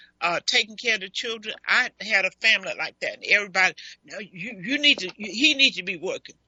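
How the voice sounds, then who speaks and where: A woman speaks at a very fast pace in an animated tone with a fairly high pitch. Her pitch variation is ordinary, with big swings in loudness. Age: 70s. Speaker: radio talk show host. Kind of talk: call-in radio show discussion. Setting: live call-in show.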